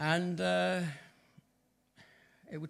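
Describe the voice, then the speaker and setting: Speaking in a West Country accent, a man makes very wide pitch swings. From southwest England, Bristol. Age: 80s+. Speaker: church member giving testimony. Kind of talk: testimony. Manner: halting.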